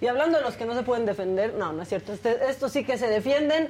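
Here a woman has an unremarkable speaking voice at a fairly high pitch. Her pitch varies in an ordinary way. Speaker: co-host. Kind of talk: casual chat.

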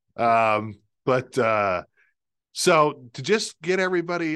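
A man with an American accent and very wide pitch swings, against a quiet background. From Pennsylvania, Lancaster County. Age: 50s. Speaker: TV meteorologist, podcast host. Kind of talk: casual chat. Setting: studio, sharing a microphone.

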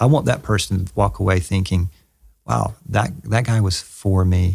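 A man speaks at a moderate pace with a Southern US accent, his pitch fairly low and his voice somewhat breathy. The recording is very clean, with a silent background. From US South. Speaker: pastor and author. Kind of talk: interview conversation. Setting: in person at his church.

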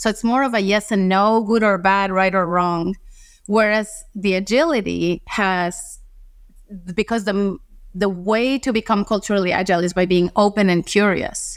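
In a Spanish accent, a woman speaks at medium pitch and a moderate pace, with fairly even intonation and very even loudness, on a very clean recording with a silent background. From Costa Rica. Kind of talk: interview.

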